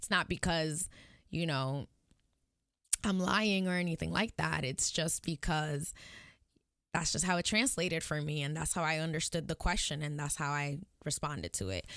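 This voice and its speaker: A woman's very deep, low voice with vocal fry, at a moderate pace, broken by long, frequent pauses, on a very clean recording with a silent background. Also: ordinary pitch variation. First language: Spanish. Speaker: podcast host. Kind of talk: casual monologue. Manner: frequent ums while searching for words.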